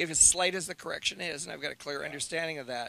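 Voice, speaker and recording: The voice has a bright, sharp tone, vocal fry and fairly even intonation. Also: man. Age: 60s. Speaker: drag racing driver. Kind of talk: interview. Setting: in a motorhome. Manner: halting.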